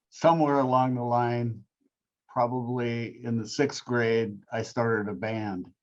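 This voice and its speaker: At a fairly slow pace, a man talks in an ordinary speaking voice of medium pitch with fairly even intonation. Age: 60s. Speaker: rock singer. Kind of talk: interview.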